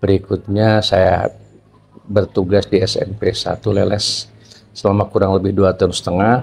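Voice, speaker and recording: Monotone and flat in intonation, a man speaks at a fairly low pitch. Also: moderate pace. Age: 60s. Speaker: retiring school principal. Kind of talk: interview.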